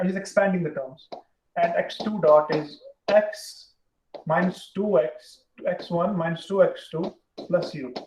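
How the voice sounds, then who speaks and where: A man with an Indian accent speaks with long, frequent pauses. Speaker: university lecturer. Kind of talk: lecture. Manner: fast.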